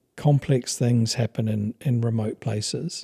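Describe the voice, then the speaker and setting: In a New Zealand accent, a man speaks fairly slowly at a medium pitch with ordinary variation, his tone dark, mellow and somewhat breathy, the sound dry and close with no echo. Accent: non-American, New Zealand. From New Zealand, with Papua New Guinea childhood. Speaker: expedition company founder. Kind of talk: interview.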